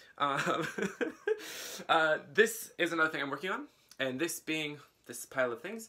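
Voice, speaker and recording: Man with fairly high pitch, lively intonation, big swings in loudness, moderate pace and long, frequent pauses. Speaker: knitting podcaster. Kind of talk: casual chat.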